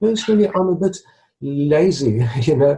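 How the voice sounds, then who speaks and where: A man speaks with fairly high pitch and lively intonation. His tone is dark and mellow. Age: 60s. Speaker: retired stuttering blogger. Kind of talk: interview. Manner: halting, with repetitions and fillers.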